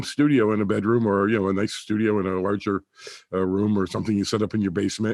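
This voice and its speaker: Over a quiet background, the speech moves at a very fast pace. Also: man. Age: 70s. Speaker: acoustics company owner and audio skeptic. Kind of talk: casual interview. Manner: halting, many fillers.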